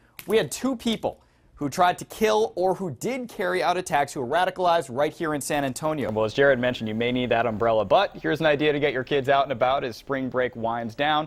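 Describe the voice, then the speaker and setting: Over music in the background, a man with a fairly high pitch talks very fast with lively intonation and hardly any pauses. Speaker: TV news reporter and anchor. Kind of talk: TV news report.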